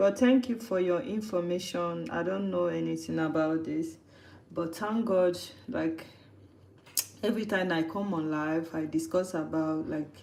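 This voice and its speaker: With audible room echo, a woman speaks at a fairly low pitch and a fairly slow pace, using ordinary pitch variation. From Nigeria. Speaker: livestreamer cooking host. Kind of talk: casual live stream chat.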